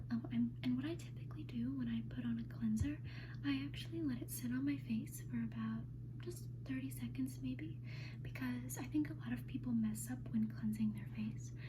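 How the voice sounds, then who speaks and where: A woman with a very deep, low pitch speaks at a moderate pace in a relaxed tone. Her intonation is monotone and flat, and there is noticeable background noise. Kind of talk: ASMR roleplay as an esthetician, personal attention. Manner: soft-spoken, friendly, relaxed.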